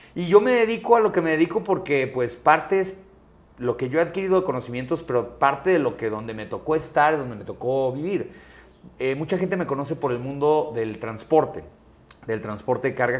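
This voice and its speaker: A man talks at a fairly quick pace with a fairly high pitch. His pitch swings very widely and his loudness rises and falls sharply. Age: 40s. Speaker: transport company CEO and podcaster. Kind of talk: interview conversation.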